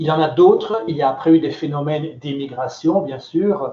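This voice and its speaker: A somewhat breathy man with a slight Belgian accent, fairly high pitch, ordinary pitch variation and a fairly slow pace. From Belgium. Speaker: cultural center director. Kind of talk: question-and-answer talk with students.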